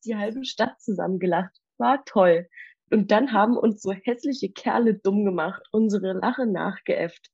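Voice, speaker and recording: Against a quiet background, a somewhat breathy woman talks at a moderate pace, her fairly high pitch showing ordinary variation. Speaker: old school friend standing in as co-host. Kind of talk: casual chat; reading aloud an old diary.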